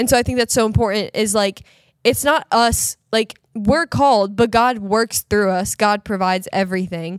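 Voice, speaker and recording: With a plain, everyday voice at a fairly high pitch, a woman speaks at a moderate pace with ordinary pitch variation, in a dry, close sound with no echo and a very clean recording with a silent background. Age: 20s. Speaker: youth ministry podcast guest. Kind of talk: casual chat.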